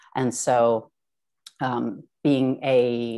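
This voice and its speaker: A woman speaks very slowly with a Philadelphia accent, her very deep, low voice flat and monotone. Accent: Philadelphia-area American. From US Northeast, South Jersey. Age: 40s. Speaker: artist. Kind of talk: artist talk. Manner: hesitant, many fillers.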